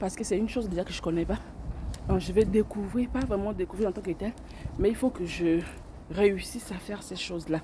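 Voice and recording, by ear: A woman's dark, mellow voice sits at a fairly low pitch with ordinary pitch variation.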